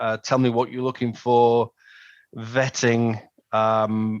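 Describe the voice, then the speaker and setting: With an English accent, a man at medium pitch speaks very slowly against a quiet background. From northern England, Manchester. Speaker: customer giving a testimonial. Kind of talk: testimonial interview. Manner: hesitant, many ums and repeated words.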